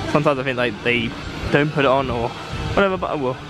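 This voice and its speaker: Music plays behind a man who talks at a fairly quick pace, with a dry sound and no echo. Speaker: park visitor vlogger. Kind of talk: casual vlog chat. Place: street. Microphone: phone near.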